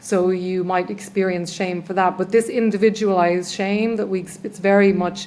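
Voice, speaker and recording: Speaking at a moderate pace with an Irish accent, the voice keeps a monotone, flat intonation. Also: woman. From Ireland. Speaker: trauma healer. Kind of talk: podcast interview. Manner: halting.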